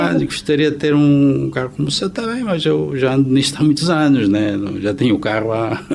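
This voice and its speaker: Lively intonation marks this man's medium-pitched speech. He goes at a fairly quick pace with hardly any pauses. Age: 60s. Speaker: accountant. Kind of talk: interview. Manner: hesitant, many fillers.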